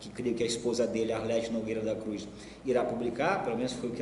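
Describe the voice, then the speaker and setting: Noticeable background noise sits under the speech, along with audible room echo. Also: man. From Maranhão, Brazil. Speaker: writer and lecturer. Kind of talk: lecture. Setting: university lecture hall with audience. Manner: halting, repeats words.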